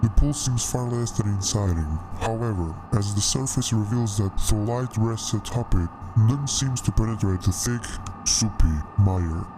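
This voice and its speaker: A put-on character voice from a man, medium in pitch, at a moderate pace over clear background noise. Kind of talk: horror narration. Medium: solo performance. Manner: slow, ominous, descriptive.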